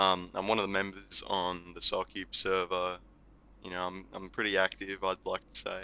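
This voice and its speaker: A man's very deep, low voice with a bright, sharp tone, monotone, flat intonation and an Australian accent. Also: moderate pace. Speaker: podcast guest, gamer and community member. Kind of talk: casual chat.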